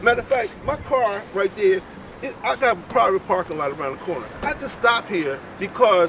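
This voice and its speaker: A man with a high voice talks at a fairly quick pace and lively intonation. Noticeable background noise runs behind him. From North Philadelphia. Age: 60s. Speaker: registered nurse. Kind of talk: casual debate.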